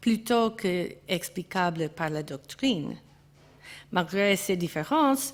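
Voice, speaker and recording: Very slowly and with lively intonation, a woman with an English accent speaks at a medium pitch in a very clean recording with a silent background. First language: English (speaking French). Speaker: art historian. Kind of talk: conference talk. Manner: halting, with hesitations and self-corrections.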